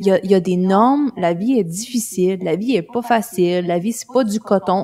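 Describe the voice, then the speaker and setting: In a Quebec accent, a woman speaks with ordinary pitch variation. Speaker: life coach and mother. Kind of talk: casual interview conversation.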